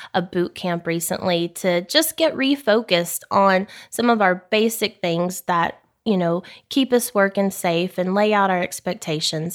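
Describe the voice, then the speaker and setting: Against a silent background on a very clean recording, a woman speaks at a fairly slow pace. She has a Texan accent, a medium pitch and lively intonation. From South Texas. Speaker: oil services general manager. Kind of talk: interview.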